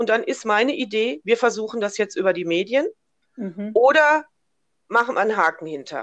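Her pitch fairly high and swinging very widely, a woman speaks at a moderate pace. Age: 60s. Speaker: businesswoman and cancer-awareness advocate. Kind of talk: interview, personal story.

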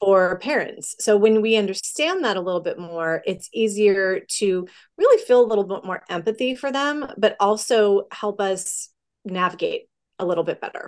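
A woman's plain, everyday voice at medium pitch and moderate pace, with ordinary pitch variation against a quiet background. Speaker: educational psychologist and counselor. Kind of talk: interview.

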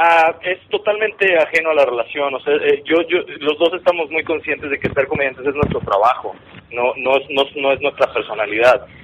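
Noticeable background noise behind a fairly quick pace and ordinary pitch variation. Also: man, fairly high pitch for a man. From Monterrey, northern Mexico. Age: 30s. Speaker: stand-up comedian. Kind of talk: casual chat.

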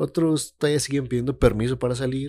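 A man speaks with a Mexican accent. His intonation stays fairly even. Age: 20s. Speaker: podcaster. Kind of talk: casual monologue. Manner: hesitant, many fillers.

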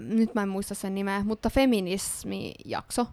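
The recording is very clean with a silent background, and the woman on it talks at a medium pitch. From Ostrobothnia, Finland. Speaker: podcast host. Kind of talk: casual chat. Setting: studio.

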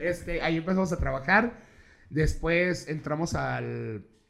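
Here a man has an ordinary speaking voice. His pitch is fairly high, with ordinary pitch variation. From Mexico, Tijuana. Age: 30s. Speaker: events promoter and podcaster. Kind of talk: casual chat.

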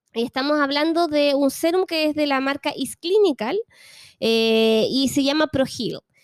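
Recorded very cleanly with a silent background and a dry, close sound with no echo, a woman with a Chilean accent speaks fairly slowly at a high pitch, her loudness very even. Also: ordinary pitch variation. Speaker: podcast host. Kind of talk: casual chat.

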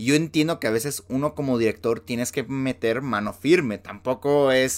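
Animated in tone, a man with a Mexican accent speaks at a fairly slow pace as music plays in the background. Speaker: podcast host. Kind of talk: solo commentary monologue.

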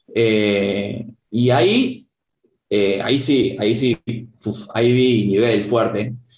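Speaking with a Rioplatense accent at a medium pitch, a man goes at a very slow pace with long, frequent pauses, fairly even intonation, and very even loudness. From Argentina, Buenos Aires province. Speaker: karate teacher and former elite competitor. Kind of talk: interview conversation.

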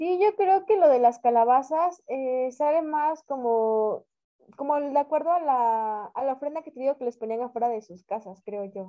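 Big swings in loudness and lively intonation. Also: woman, high pitch for a woman, moderate pace. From Mexico. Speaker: podcast co-host. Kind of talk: casual chat.

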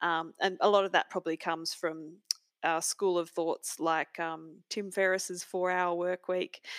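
Fairly low in pitch, a woman speaks at a fairly slow pace in a monotone, flat intonation. The recording is very clean with a silent background, and the sound is dry and close with no echo. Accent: Australian. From rural Australia. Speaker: architect and author. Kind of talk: casual interview.

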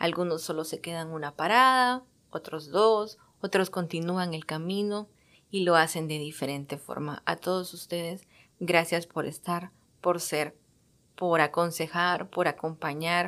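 On a very clean recording with a silent background, a woman speaks at a fairly slow pace in a fairly low pitch with fairly even intonation. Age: 30s. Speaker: podcast host. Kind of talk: personal monologue.

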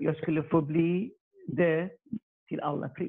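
This man's voice is high-pitched. He speaks at a fairly slow pace. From Iraq. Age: 30s. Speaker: electronics production worker. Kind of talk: testimony. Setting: video call. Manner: halting.

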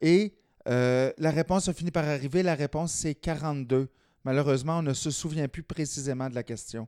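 A man with a fairly high pitch and a dark, mellow tone speaks at a moderate pace with ordinary pitch variation. The sound is dry and close, with no echo. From rural Quebec. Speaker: slam poet. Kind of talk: casual interview.

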